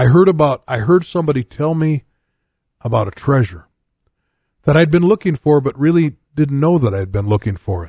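With very wide pitch swings, the speaker sounds somewhat breathy and leaves long, frequent pauses, in a dry, close sound with no echo. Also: man, fairly high pitch for a man. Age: 60s. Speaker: pastor and radio show host. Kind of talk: radio sermon; casual radio talk. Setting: radio studio, live broadcast.

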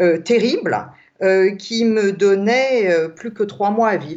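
A woman is speaking. Her pace is very slow. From Alsace, France. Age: old. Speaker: author. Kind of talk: interview. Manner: halting.

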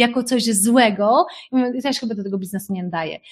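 A woman speaks in an animated tone. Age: 40s. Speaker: life coach. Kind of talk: webinar talk.

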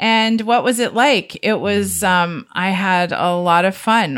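A woman with a Canadian accent, a plain, everyday voice, ordinary pitch variation and a fairly slow pace. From Southern Ontario, Canada. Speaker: author and radio co-host. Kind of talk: storytelling interview.

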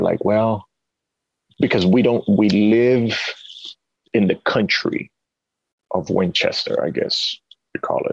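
With a Spanish accent, a man is speaking. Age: 30s. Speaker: jiu jitsu gym owner. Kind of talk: casual interview chat. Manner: conversational, hesitant with repeated words.

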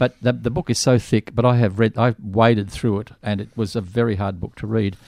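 A man with an Australian accent speaks at medium pitch and a fairly quick pace, with fairly even intonation and a dry, close sound with no echo. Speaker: radio host. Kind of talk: casual chat. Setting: studio.

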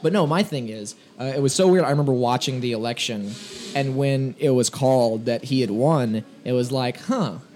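A man with a medium pitch speaks at a moderate pace with ordinary pitch variation, and noticeable background noise runs underneath. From south Louisiana (Thibodaux). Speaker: comedian. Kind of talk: casual chat.

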